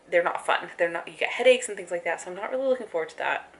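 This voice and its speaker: Noticeable background noise sits behind the speech. A woman talks with ordinary pitch variation. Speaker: vlogger and life coach. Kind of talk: casual vlog talk to camera. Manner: stuttering, halting; casual with many fillers.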